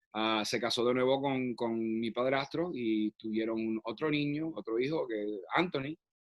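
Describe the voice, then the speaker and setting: With ordinary pitch variation, a man talks at a moderate pace and medium pitch. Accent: Puerto Rican. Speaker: actor. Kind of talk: interview conversation. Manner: halting, many fillers and restarts.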